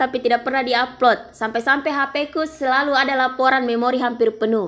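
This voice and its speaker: Shrill and high-pitched, a woman rattles along at a very fast pace with hardly any pauses and fairly even intonation. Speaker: travel vlogger. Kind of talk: voice-over narration of travel video. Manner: casual, chatty.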